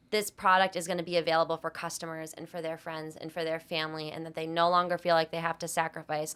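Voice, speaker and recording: Speaking at a very fast pace with hardly any pauses, a woman with an American accent and a fairly low pitch keeps a monotone, flat intonation amid big swings in loudness, in a very clean recording with a silent background. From Massachusetts, North Attleboro (Boston area). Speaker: co-founder of an ice cream company. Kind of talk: podcast interview.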